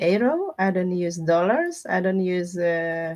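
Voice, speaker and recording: A woman's medium-pitched voice with a non-native accent and lively intonation. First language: not English. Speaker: tarot reader livestreamer. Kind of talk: live stream chat with viewers. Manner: casual, chatty.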